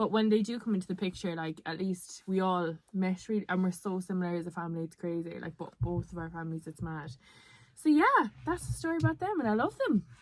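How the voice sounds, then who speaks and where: A woman speaks very fast at a medium pitch, with an Irish accent. Her pitch varies in an ordinary way. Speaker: podcast co-host. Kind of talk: casual chat. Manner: animated.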